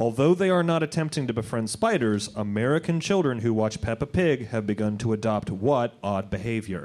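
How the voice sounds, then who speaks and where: With hardly any pauses, a man talks at a fairly quick pace in an unremarkable speaking voice, medium-pitched with lively intonation. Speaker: quiz host and magician. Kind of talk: live quiz show comedy. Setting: stage with audience.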